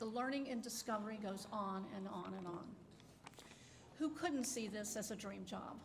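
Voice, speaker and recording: A woman's fairly high voice at a moderate pace, broken by long, frequent pauses, with audible room echo and noticeable background noise. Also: ordinary pitch variation. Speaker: retired library director. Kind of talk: ceremonial speech. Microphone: too quiet at first, turned up.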